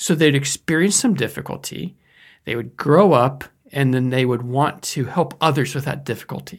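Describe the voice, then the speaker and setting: An unremarkable speaking voice, a man at a moderate pace, fairly high pitch and ordinary pitch variation, on a very clean recording with a silent background. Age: 50s. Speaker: educator on life purpose. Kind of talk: lecture.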